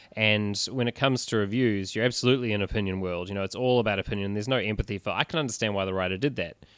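A man with a New Zealand accent speaks at a very fast pace with hardly any pauses, in a fairly low pitch with ordinary pitch variation, on a very clean recording with a silent background. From New Zealand, Christchurch. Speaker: writer and new podcast co-host. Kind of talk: casual chat. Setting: bookstore.

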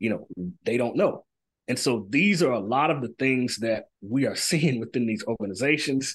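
A man's medium-pitched voice with an American accent at a moderate pace. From US South, Pine Bluff, Arkansas. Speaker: professor. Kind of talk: interview. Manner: halting, many fillers.

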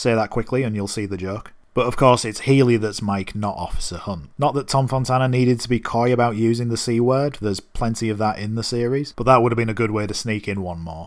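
With a non-native accent, the speaker races along at a very fast pace with hardly any pauses and ordinary pitch variation, on a very clean recording with a silent background. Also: man, medium pitch for a man. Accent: non-American accent, listeners may mock it. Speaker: podcast host. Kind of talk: solo episode recap and review.

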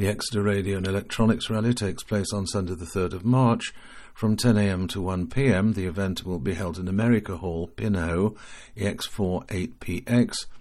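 Here is a man with a plain, everyday voice at a fairly low pitch. He speaks at a moderate pace with fairly even intonation against a quiet background. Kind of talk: formal news bulletin reading. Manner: formal, steady, measured newsreader delivery; matter-of-fact, reading out dates, call signs and figures.

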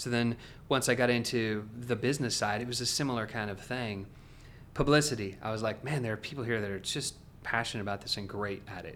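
A man with an American accent at a very fast pace and fairly even intonation. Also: medium pitch for a man. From Oregon, US Pacific Northwest. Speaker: music publishing executive. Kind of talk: interview conversation.

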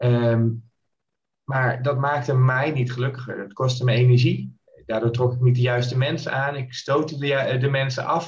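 Flat, monotone intonation comes through in a somewhat breathy voice. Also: man, medium pitch for a man, moderate pace. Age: 30s. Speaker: mindset coach. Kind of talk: podcast interview.

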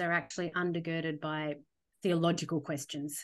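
A woman in an Australian accent at a moderate pace, against a quiet background. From Australia, Sydney. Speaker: theologian, former church minister. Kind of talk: podcast interview.

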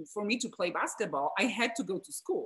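Here a woman speaks at a fairly high pitch. Her intonation is lively. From Poland, Wrocław. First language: Polish. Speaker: guest, former basketball player, mentor. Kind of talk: casual interview.

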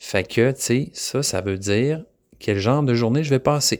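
A man with a slight Québécois accent and lively intonation, on a very clean recording with a silent background. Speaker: podcast host. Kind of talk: casual solo podcast talk. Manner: halting, many fillers and repetitions.

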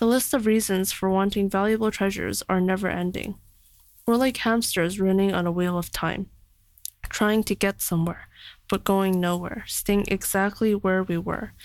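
Recorded very cleanly against a silent background, a woman with a normal speaking voice talks in a Canadian accent at medium pitch and a moderate pace, her intonation fairly even and her loudness very even. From Canada. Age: young. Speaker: young writer. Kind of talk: reading own reflective prose.

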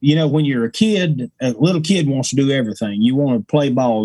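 A man with an Appalachian accent and lively intonation. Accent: Appalachian Southern. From East Tennessee. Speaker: bluegrass musician. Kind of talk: casual interview chat.

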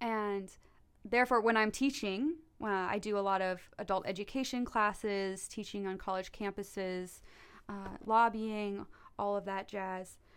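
A woman's medium-pitched, normal speaking voice at a fairly slow pace, with fairly even intonation on a very clean recording against a silent background. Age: 20s. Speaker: environmental faith advocate. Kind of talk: casual interview.

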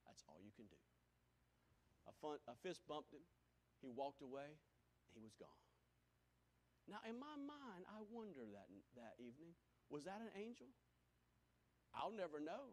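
Speaking at a moderate pace in a South Carolina accent, the voice shows very wide pitch swings, big swings in loudness, and long, frequent pauses. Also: man, fairly high pitch for a man. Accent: Southern US (South Carolina). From US South, Greenville, South Carolina. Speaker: pastor. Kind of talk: sermon. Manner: animated.

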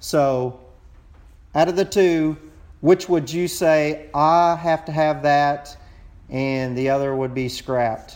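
A man with a Texas accent speaks very slowly in a fairly high voice, his intonation fairly even and his speech broken by long, frequent pauses. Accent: Texas drawl. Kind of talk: voicemail message.

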